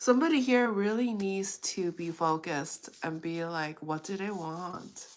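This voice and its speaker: In a calm tone, a woman with a medium pitch and lively intonation speaks at a very slow pace on a very clean recording with a silent background. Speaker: tarot reader. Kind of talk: live tarot reading stream. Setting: live stream.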